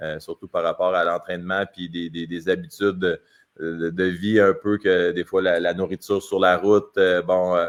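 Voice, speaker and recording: Flat, monotone intonation marks this man's speech, which sits very deep and low in pitch and moves at a moderate pace. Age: 40s. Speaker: hockey player. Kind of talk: podcast interview.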